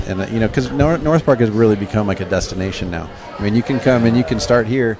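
Very fast speech from a man with an American accent, a fairly low pitch and ordinary pitch variation, over noticeable background noise. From San Diego, California. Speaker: brewery co-owner. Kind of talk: casual chat. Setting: at a brewery.

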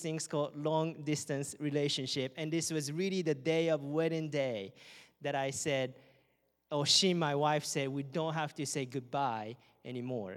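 Someone speaks at a fairly slow pace in a very clean recording with a silent background. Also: man. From Japan. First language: Japanese. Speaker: campus missionary. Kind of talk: sermon. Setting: church.

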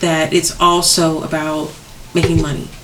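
A woman speaks with a fairly low pitch. Noticeable background noise can be heard. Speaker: podcast co-host. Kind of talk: casual chat.

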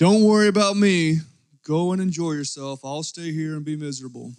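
Using a put-on character voice, a man speaks at a fairly quick pace with a fairly high pitch. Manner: miserable, gloomy.

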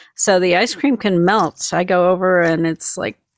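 In a very clean recording with a silent background, a woman with an American accent speaks at a moderate pace, her fairly low pitch showing ordinary variation. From US Midwest, Minnesota. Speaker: spiritual healer. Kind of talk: casual interview.

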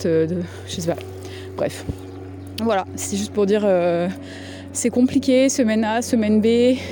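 Over noticeable background noise, a woman speaks at a fairly slow pace, leaving long, frequent pauses. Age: 30s. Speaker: podcast host. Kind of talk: voicemail message monologue. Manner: casual, hesitant with many fillers.

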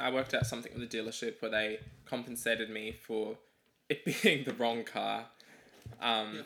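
With a bright, sharp tone, a man speaks at a medium pitch and a fairly quick pace. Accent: Australian. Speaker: podcast host. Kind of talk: casual chat.

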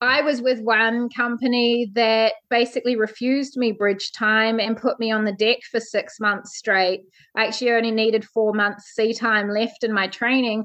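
A woman with a New Zealand accent speaks at a moderate pace in a fairly high, flat monotone with hardly any pauses and very even loudness. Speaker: ship's officer. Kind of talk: interview.

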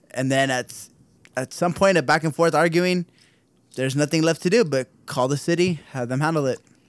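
A man with an American accent uses an ordinary speaking voice at a fairly high pitch and a fairly quick pace. His pitch variation is ordinary, and the sound is dry and close with no echo. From Southern California. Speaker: podcast co-host. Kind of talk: casual chat.

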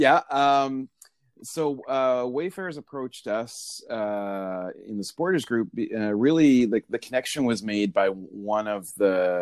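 On a very clean recording with a silent background, a man speaks at a fairly slow pace with lively intonation. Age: 40s. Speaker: football supporters group member. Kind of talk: casual chat. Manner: hesitant, many fillers.

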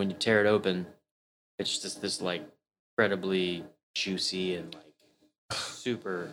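A man with an American accent and a very deep, low pitch, fairly even intonation, a moderate pace, big swings in loudness and long, frequent pauses. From Maryland and US South. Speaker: chef and butcher. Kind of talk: casual chat.

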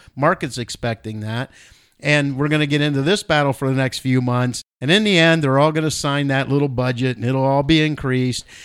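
Recorded very clean with a silent background, a man with a normal speaking voice and a fairly high pitch talks at a fairly quick pace with ordinary pitch variation. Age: 60s. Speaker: financial advisor, podcast co-host. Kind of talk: casual chat about markets.

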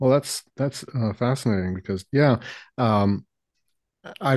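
Against a quiet background, a man with a Canadian accent uses an ordinary speaking voice at a medium pitch. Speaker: history podcast host. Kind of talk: casual interview conversation.

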